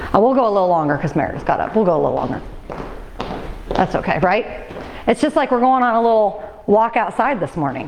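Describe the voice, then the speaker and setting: The speaker is loud and very fast, with very wide pitch swings and long, frequent pauses. Audible room echo and noticeable background noise are present. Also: woman, fairly high pitch for a woman. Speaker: fitness instructor. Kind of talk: exercise class instruction. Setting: fitness class with livestream.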